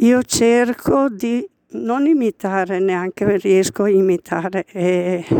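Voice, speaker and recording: Ordinary pitch variation marks this woman's speech, recorded with a dry, close sound and no echo. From Caino, province of Brescia. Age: old. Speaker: caretaker of a small church. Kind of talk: interview.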